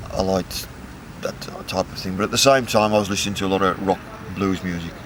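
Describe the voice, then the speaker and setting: This man's voice is fairly low, and he talks at a very fast pace. Long, frequent pauses break up his speech over noticeable background noise. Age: 60s. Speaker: musician. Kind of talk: interview.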